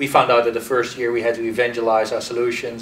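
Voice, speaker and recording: A man with a European accent speaks at a medium pitch in a flat, monotone way, with audible room echo and noticeable background noise. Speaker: marketing executive. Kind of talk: interview. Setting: conference.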